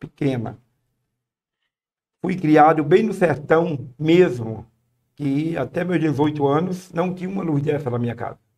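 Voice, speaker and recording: The voice has a dark, mellow tone and ordinary pitch variation. It moves at a very slow pace. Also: man. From Brazil, Paraíba backlands (Northeast). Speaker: missionary. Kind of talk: podcast interview, testimony.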